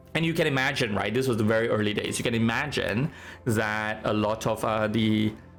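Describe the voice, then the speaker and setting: With music in the background and audible room echo, a man talks at a fairly quick pace in a medium pitch, with ordinary pitch variation and very even loudness. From Singapore. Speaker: game streamer. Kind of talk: casual chat, storytelling on stream. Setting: live stream. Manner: casual, many fillers.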